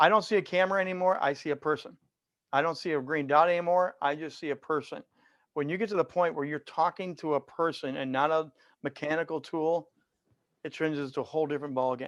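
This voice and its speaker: Over a quiet background, a man talks very fast at a fairly high pitch with ordinary pitch variation. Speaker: virtual presentation coach. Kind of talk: webinar Q&A. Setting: video call. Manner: animated.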